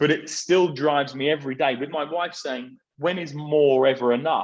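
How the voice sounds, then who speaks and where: A man with a southern English accent, at a moderate pace, with fairly even intonation. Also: fairly high pitch for a man. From southern England, Surrey. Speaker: property business executive. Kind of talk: interview conversation. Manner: halting.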